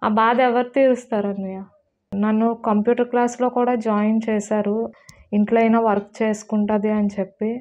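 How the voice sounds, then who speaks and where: A woman speaks in a fairly high pitch with monotone, flat intonation. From Andhra Pradesh, Visakhapatnam; Andhra Pradesh, India. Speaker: stabbing survivor. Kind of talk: interview testimony. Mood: distressed, pleading. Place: home room. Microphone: lapel.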